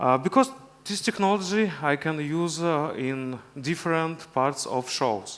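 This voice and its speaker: Lively intonation from a man with a fairly high-pitched voice. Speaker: video engineer presenting at a conference. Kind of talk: conference talk. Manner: halting, many hesitations.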